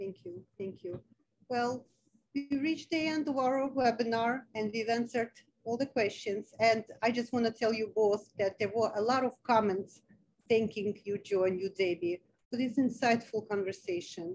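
A woman speaks at a fairly high pitch with ordinary pitch variation. Her pace is moderate, over light background noise. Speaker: foundation president and webinar moderator; webinar moderator. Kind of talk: webinar moderation. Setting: video call. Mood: warm, grateful. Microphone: video call.

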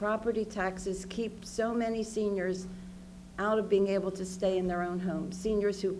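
With a dark, mellow tone and a medium pitch, a woman speaks in a monotone, flat intonation at a moderate pace amid audible room echo. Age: 70s. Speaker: member of the public testifying. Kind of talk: public testimony. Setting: public hearing.

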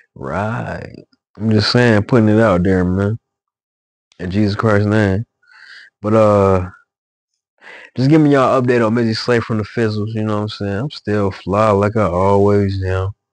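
In a relaxed tone, a man with a fairly low pitch speaks at a moderate pace with fairly even intonation and long, frequent pauses, the sound dry with no echo. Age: 30s. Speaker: musician and vlogger; vlogger. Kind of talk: casual monologue video update. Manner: relaxed, repetitive filler. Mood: relaxed, reflective, preachy at times. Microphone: new microphone; phone near.

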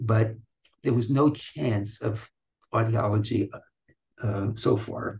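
A man's dark, mellow voice carries vocal fry and ordinary pitch variation. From US, New York (Brooklyn). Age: 80s+. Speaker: retired audiology professor. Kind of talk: interview, life story. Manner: slow, halting. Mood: warm, amused storytelling. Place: office. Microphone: webcam.

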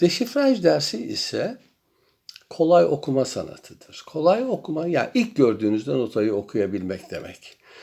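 A man's fairly high voice with vocal fry, very wide pitch swings and a moderate pace. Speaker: music professor. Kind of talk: welcome address to students. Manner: formal.

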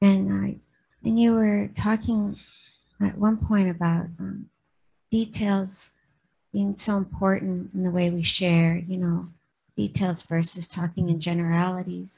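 With an American accent, a woman talks slowly with long, frequent pauses, in a fairly low, somewhat breathy voice of dark, mellow tone and fairly even intonation. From Minnesota. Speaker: sangha member; teacher leading the service. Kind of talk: audience question; dharma talk and discussion. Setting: temple. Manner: halting. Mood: calm, warm. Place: hall. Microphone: studio mic.

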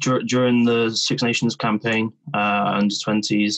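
A West Country accent at a fairly slow pace against a quiet background. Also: man. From England, Bristol; England. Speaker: rugby player; interviewee. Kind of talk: interview. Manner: halting, many repetitions. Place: home room. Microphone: video call.

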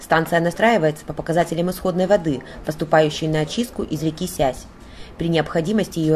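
The speech moves at a very fast pace. Noticeable background noise sits behind it. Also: woman. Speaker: local TV reporter. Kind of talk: news narration.

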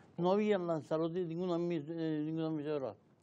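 Over light background noise, a man speaks in an unremarkable speaking voice at a fairly high pitch with fairly even intonation. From Canary Islands (Arrecife, Lanzarote); Canary Islands. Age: 60s. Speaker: retired local police officer and journalist; journalist. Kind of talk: casual interview. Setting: TV studio. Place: studio.

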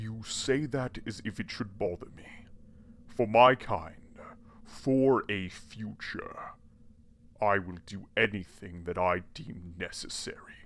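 A put-on character voice at a fairly slow pace, with long, frequent pauses. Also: man, medium pitch for a man. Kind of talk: audio drama villain. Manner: smug, courtly, menacing.

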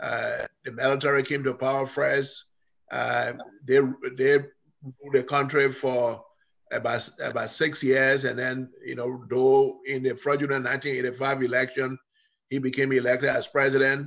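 The voice stays monotone and flat at a fairly slow pace. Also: man, quiet background. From Liberia. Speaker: political scientist; guest. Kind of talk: interview. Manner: halting. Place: kitchen. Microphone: video call.

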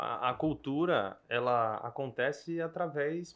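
Here is a man with a normal speaking voice and fairly high pitch. His pitch varies in an ordinary way over a quiet background. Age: 30s. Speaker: event bartending business owner. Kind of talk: casual business podcast chat.

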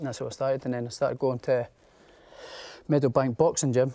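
This man talks at a very fast pace with a Scottish accent and a dark, mellow tone. His intonation is monotone and flat over a quiet background. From Scotland, near Edinburgh; Scotland. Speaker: professional boxer. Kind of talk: interview. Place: studio.

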